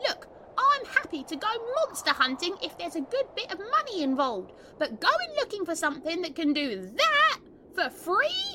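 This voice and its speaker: A put-on character voice at extremely high pitch swings very widely in pitch at a moderate pace, with clear background noise. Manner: greedy, excitable, panicky.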